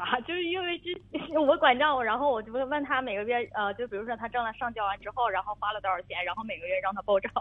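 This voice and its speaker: With hardly any pauses, a woman talks at a very fast pace in a high voice with lively intonation, over noticeable background noise. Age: 30s. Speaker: radio caller with marriage problem. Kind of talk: advice call-in conversation. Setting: phone call. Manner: halting, many fillers.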